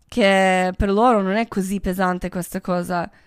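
A woman speaks fairly slowly with a non-native accent and fairly even intonation. The recording is very clean, with a silent background. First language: not Italian (speaking Italian). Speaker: podcast host. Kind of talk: casual monologue.

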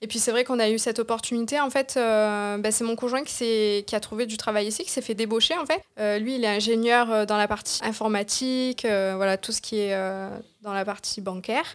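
At a moderate pace, a woman talks in a fairly high voice whose pitch varies in an ordinary way. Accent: Marseille. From Marseille, southern France. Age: 20s. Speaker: social media consultant, entrepreneur. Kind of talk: interview.

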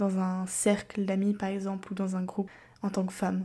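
This woman's somewhat breathy voice sits at a medium pitch, with a dark, mellow tone and a moderate pace. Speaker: podcast host. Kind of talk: casual solo monologue. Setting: home recording. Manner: speaking more quietly than usual.

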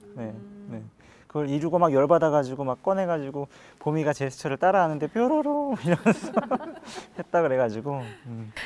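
The speech runs at a fairly quick pace but with long, frequent pauses, over noticeable background noise. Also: man, fairly high pitch for a man, lively intonation, big swings in loudness. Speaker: pianist. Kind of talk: casual chat.

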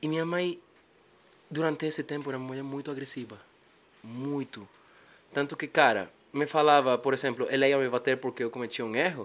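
Fairly even intonation in a strong Spanish accent, with long, frequent pauses. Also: man, fairly high pitch for a man. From Bolivia. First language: Spanish (speaking Portuguese). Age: 20s. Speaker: musician. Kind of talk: casual chat.

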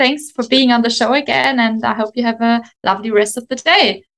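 A woman speaks at a fairly high pitch with a German accent. Her tone is bright and sharp. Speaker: podcast host and marketing consultant. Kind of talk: interview.

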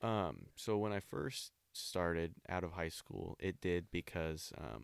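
A man with an American accent and very deep, low pitch, vocal fry, ordinary pitch variation, a dry, close sound with no echo and a very clean recording with a silent background. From Olympia, Washington, US Pacific Northwest. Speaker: person in addiction recovery. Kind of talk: casual interview, personal testimony.

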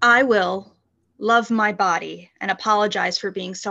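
A woman with an American accent speaks at a medium pitch in a bright, sharp tone with vocal fry over a quiet background. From Philadelphia, US. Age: 30s. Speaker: podcast guest. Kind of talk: casual interview chat; reading goal statements aloud.

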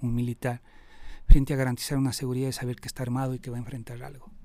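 Here a man speaks at a medium pitch with a dark, mellow tone. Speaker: rescue worker and emergency operator. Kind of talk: interview. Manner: halting, with frequent repetitions.

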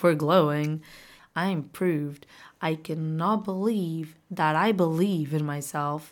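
In a very clean recording over a silent background, a woman with a Portuguese accent speaks at a fairly slow pace, her fairly low pitch showing ordinary variation. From Portugal. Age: 20s. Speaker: podcast host. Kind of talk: casual monologue; motivational pep talk. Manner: animated.

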